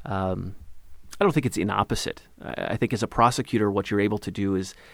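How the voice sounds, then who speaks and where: A man with an American accent, fairly low-pitched, at a moderate pace, in a very clean recording over a silent background. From Eastern Washington, US (Ellensburg). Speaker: congressional candidate, former prosecutor. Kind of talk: interview.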